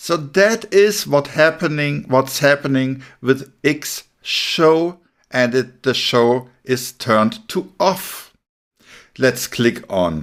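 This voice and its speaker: Man with a German accent, medium pitch and very slow pace, on a very clean recording with a silent background. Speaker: web development instructor. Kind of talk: tutorial. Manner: casual.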